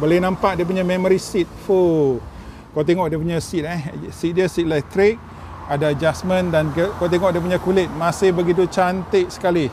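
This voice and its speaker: A man with a high pitch and fairly even intonation speaks at a moderate pace, the sound dry with no echo and light background noise. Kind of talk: casual car review commentary. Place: street. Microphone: phone near.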